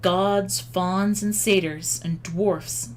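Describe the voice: Someone reads aloud plainly, keeping the intonation fairly even.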